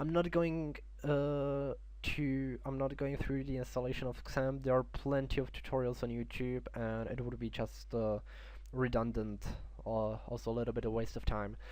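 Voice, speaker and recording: Here a man talks at a moderate pace. He has a non-native accent. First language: not English. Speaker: software tutorial creator. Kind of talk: tutorial. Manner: halting, many fillers.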